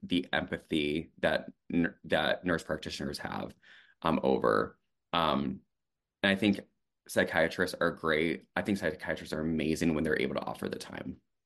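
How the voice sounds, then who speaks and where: A man's very deep, low voice with vocal fry and ordinary pitch variation, at a moderate pace over a quiet background. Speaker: therapy podcast co-host, social worker and therapist. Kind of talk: casual chat.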